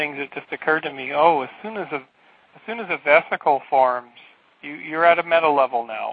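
A man talks fairly quickly in a normal speaking voice, using ordinary pitch variation. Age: 40s. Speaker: researcher and PhD student. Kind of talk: casual chat.

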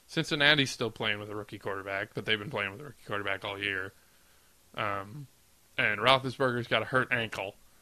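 With a bright, sharp tone and a fairly low pitch, a man talks at a fairly quick pace, with ordinary pitch variation and big swings in loudness over a quiet background. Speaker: podcast co-host. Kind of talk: casual chat.

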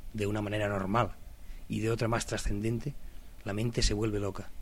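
A man speaks at a fairly quick pace in a fairly low pitch, his intonation monotone and flat. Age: 30s. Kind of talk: personal reflective monologue.

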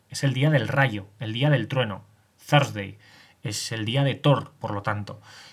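Somewhat breathy, a man speaks at a fairly slow pace. His pitch is medium, with ordinary variation. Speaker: solo podcast host on mythology and history. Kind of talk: solo educational podcast monologue. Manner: hesitant, many fillers and restarts.

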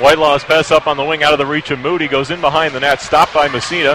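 Over noticeable background noise, a man talks at a very fast pace. His pitch is fairly high. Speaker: college radio play-by-play announcer. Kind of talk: live ice hockey play-by-play commentary. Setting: broadcast booth at ice arena. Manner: rapid-fire, rising to excited shouts on goals; brisk, clipped puck-by-puck narration.

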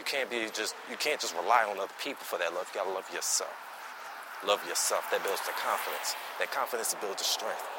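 A man speaks at a fairly quick pace with fairly low pitch. His pitch varies in an ordinary way over noticeable background noise. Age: 20s. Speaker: podcast host. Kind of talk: casual monologue. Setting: outdoors, walking.

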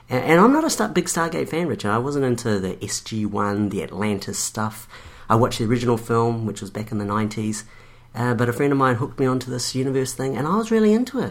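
Pitch moves in a normal way. The delivery is very fast. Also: man, medium pitch for a man. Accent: New Zealand. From New Zealand. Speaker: podcast co-host. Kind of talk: casual chat.

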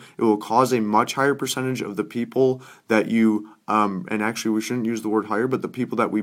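A man talks at a fairly quick pace with fairly even intonation, his pitch medium. It is an ordinary speaking voice. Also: very clean recording, silent background. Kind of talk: sales pitch.

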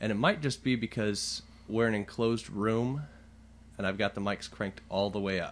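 This man's pitch sits fairly low. He talks at a moderate pace with fairly even intonation. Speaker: podcast host. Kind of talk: casual chat. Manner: loud.

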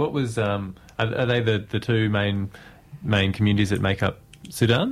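A man talks at a moderate pace in a fairly low pitch. His intonation is fairly even and his loudness very even. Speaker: radio interviewer. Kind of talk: radio interview. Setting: studio. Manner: halting.

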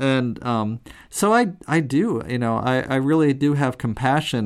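The speaker is a man. His voice rises and falls with ordinary pitch variation. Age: 40s. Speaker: software engineer and amateur musician, co-host. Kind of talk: casual chat. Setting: remote call from home studio. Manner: halting, many restarts.

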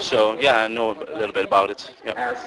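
Against noticeable background noise, a man with a Dutch accent talks with fairly even intonation. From Netherlands. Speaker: exchange student. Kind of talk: street interview. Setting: outdoors. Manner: halting.

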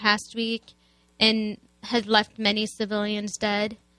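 With an American accent, a woman speaks very slowly at a fairly high pitch, her bright, sharp tone held in monotone, flat intonation. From US Midwest, Chicago. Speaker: student activist. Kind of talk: radio interview.

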